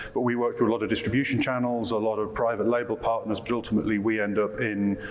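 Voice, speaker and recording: In a British accent, a man with a fairly low pitch speaks at a very fast pace in a flat monotone, with noticeable background noise and audible room echo. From UK. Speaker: marketing director. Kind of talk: panel discussion. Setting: conference stage with audience.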